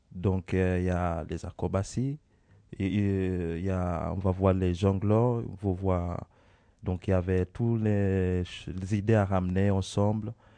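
A man speaks at a very slow pace in a very deep, low voice with a dark, mellow tone and fairly even intonation, leaving long, frequent pauses against a quiet background. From Kenya. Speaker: circus acrobat. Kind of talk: interview answers for children's school radio. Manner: halting, searching for words.

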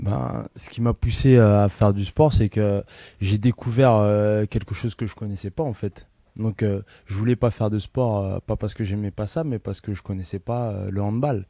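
Fairly low male voice with a dark, mellow tone, fairly slow and fairly even in intonation, dry and close with no echo over a quiet background. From Paris region, France. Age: 20s. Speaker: handball player. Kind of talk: interview with children. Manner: hesitant, many fillers.

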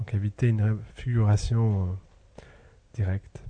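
A man's fairly low, somewhat breathy voice with a dark, mellow tone and monotone, flat intonation. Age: 30s. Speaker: sculptor. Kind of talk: interview. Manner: halting, searching for words.

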